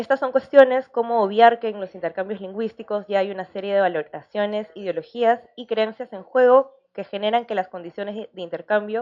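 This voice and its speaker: Fairly high-pitched and fairly quick, a woman talks with hardly any pauses, ordinary pitch variation and big swings in loudness. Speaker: academic panel commentator. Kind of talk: academic commentary. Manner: fast.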